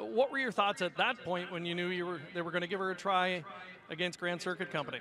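Very fast speech from a man at high pitch, ordinary pitch variation, a dry sound with no echo, and noticeable background noise. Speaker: sports interviewer. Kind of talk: post-race interview. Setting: racetrack. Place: stadium. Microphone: handheld.

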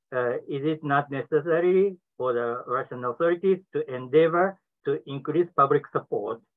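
A man speaks with a Japanese accent at a moderate pace. The background is quiet. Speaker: professor, discussant; professor. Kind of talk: prepared academic commentary. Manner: reading from a prepared text. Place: office. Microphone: webcam.

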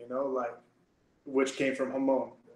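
A man speaks with an American accent. Audible room echo can be heard. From Texas, Amarillo; Texas. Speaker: jiu-jitsu instructor. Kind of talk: casual interview. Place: office. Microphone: webcam.

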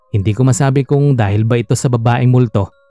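Over background music, a man with a medium pitch talks at a fairly quick pace with ordinary pitch variation in a dry, close sound with no echo. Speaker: storyteller reading a listener-submitted story. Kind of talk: ghost story telling, first-person scary narration read aloud.

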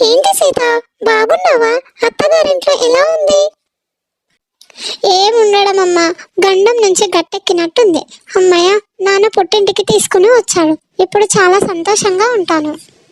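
A woman puts on a cartoonish character voice at an extremely high pitch with lively intonation, recorded in a dry, close sound with no echo. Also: moderate pace, very even loudness. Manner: chatty, impulsive.

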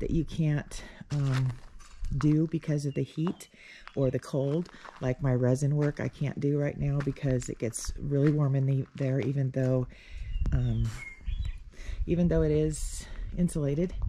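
Speech comes at a fairly slow pace with long, frequent pauses. Light background noise is present. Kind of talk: casual vlog chat. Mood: relaxed, light laughs. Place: open country. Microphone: phone near.

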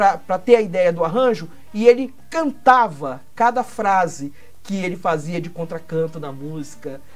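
Very wide pitch swings run through what a woman says. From Minas Gerais, Brazil. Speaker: singer. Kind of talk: interview answer. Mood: warm, nostalgic storytelling. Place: studio.

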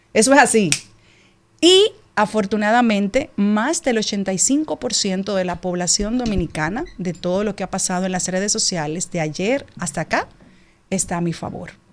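With lively intonation, a woman talks at a fairly slow pace and medium pitch. Light background noise can be heard. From Dominican Republic. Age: 40s. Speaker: TV presenter and politician; TV presenter, politician. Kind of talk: radio interview statement. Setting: radio studio. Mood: defensive, emphatic. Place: studio. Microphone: studio mic.

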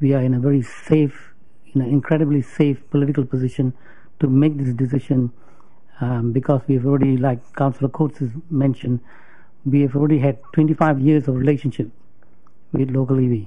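In a quiet setting, a man of medium pitch speaks fairly quickly in a flat monotone, with long, frequent pauses and very even loudness. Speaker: mayor chairing council meeting. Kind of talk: formal meeting chairing. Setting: council chamber meeting. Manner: good-humoured, self-deprecating. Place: meeting room. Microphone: podium.

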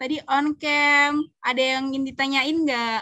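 Over a quiet background with a dry sound and no echo, a woman raises and projects her high-pitched voice in a bright, sharp tone. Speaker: event moderator. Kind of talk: moderating. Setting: video call. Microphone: video call.

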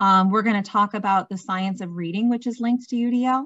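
At a fairly quick pace, a woman speaks at a medium pitch.

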